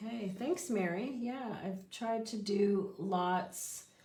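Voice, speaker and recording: Audible room echo surrounds a woman speaking at a very slow pace. Her pitch variation is ordinary. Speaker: papercraft instructor. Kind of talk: live craft tutorial. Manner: casual, chatty.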